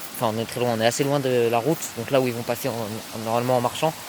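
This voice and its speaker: A man speaks against noticeable background noise. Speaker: youtuber filming a prank vlog. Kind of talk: casual vlog narration to camera. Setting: outdoors, hiding in woods. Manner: hesitant, many fillers; quiet, speaking softly while hiding.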